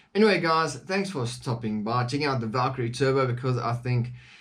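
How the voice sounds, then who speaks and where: Somewhat breathy and with a non-native accent, a man talks at medium pitch and a moderate pace with lively intonation. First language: not English. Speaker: firearms reviewer. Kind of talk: product review. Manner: casual, with frequent fillers.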